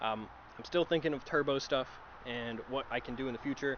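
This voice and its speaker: Over noticeable background noise, a medium-pitched man talks very fast with ordinary pitch variation. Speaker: car vlogger. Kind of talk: casual vlog talk. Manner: self-described stutter; casual, filler-heavy.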